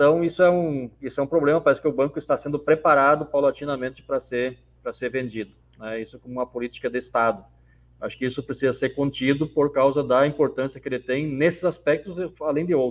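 Very fast speech from a man, fairly high-pitched for a man, intonation fairly even. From Rio Grande do Sul, Brazil. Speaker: mayor. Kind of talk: panel debate.

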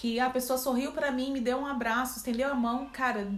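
A woman speaks at a high pitch and a fairly quick pace with ordinary pitch variation. Noticeable background noise and audible room echo surround her. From Brazil, Campinas (São Paulo). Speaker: church member guest. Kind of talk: casual faith discussion.

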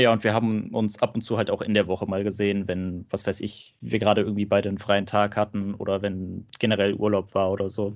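A man talks at a fairly quick pace with hardly any pauses. His fairly low voice stays monotone and flat. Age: 20s. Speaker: trainee telling his breakup story. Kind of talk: casual interview.

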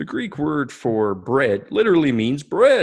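A man's put-on character voice, fairly high in pitch, at a fairly slow pace. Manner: mocking, exaggerated, pompous.

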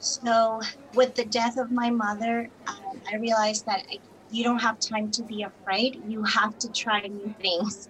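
A woman with a Spanish accent speaks at a fairly slow pace in a fairly high voice with monotone, flat intonation. Noticeable background noise runs under her speech. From Colombia. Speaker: bilingual teacher and entrepreneur. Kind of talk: interview.

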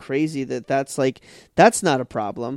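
This is a normal speaking voice from a man at a moderate pace, with ordinary pitch variation. The recording is very clean, with a silent background and a dry, close sound with no echo. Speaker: podcast guest. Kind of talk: casual chat.

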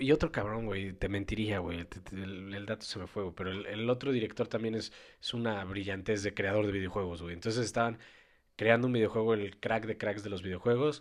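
In a very clean recording with a silent background, a man with a fairly low voice talks at a fairly quick pace with fairly even intonation. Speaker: podcast co-host. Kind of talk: casual chat.

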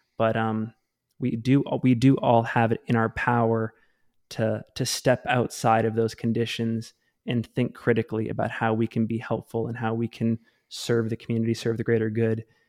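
A man's medium-pitched voice with an American accent, monotone and flat in intonation at a moderate pace, with a dry, close sound with no echo and a very clean recording against a silent background. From Maine, US Northeast. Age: 30s. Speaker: trail running podcast host. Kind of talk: casual interview chat.

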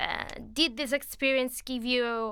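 In an Italian accent, a woman with a high pitch and a bright, sharp tone speaks at a very slow pace. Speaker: travel podcast host. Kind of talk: casual interview.

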